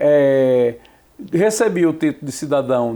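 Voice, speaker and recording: A man speaks with a Sergipe accent. His tone is dark and mellow. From Brazil, Sergipe (Aracaju). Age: 60s. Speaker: journalist and professor. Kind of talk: interview.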